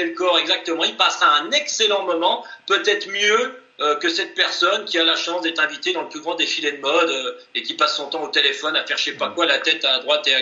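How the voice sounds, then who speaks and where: Noticeable background noise sits behind a man's voice. He talks at a fairly quick pace with very wide pitch swings. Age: 40s. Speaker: ultra-endurance athlete. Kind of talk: interview.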